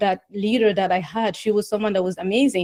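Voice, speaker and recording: Fairly high in pitch, this woman's voice has a dark, mellow tone. She talks at a very fast pace. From West Africa. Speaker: executive coach. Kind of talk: interview.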